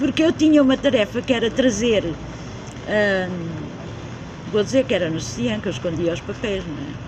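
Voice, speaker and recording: Against noticeable background noise, a woman at a medium pitch and moderate pace makes very wide pitch swings and takes long, frequent pauses. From central Portugal (Beira, Coimbra district). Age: 70s. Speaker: community member interviewee. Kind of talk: casual interview, life story. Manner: halting, self-correcting.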